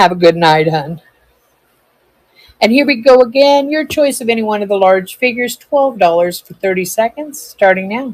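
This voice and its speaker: In a normal speaking voice, a woman talks at a moderate pace with fairly high pitch, lively intonation and big swings in loudness. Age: 60s. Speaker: live-stream seller. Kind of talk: live sales stream. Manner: chatty.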